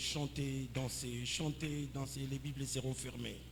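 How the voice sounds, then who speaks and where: A man is speaking. Room echo is audible. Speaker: pastor. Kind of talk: sermon.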